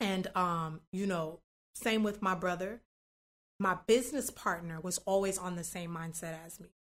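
This woman has a plain, everyday voice, talking at a moderate pace at medium pitch with ordinary pitch variation and big swings in loudness. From US South, North Miami, Florida. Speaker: pastry chef and business founder. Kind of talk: casual interview. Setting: office.

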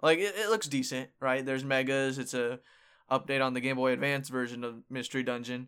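On a very clean recording with a silent background, a man with a plain, everyday voice speaks at medium pitch with ordinary pitch variation. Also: fairly quick pace. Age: 20s. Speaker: podcast host. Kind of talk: casual chat.

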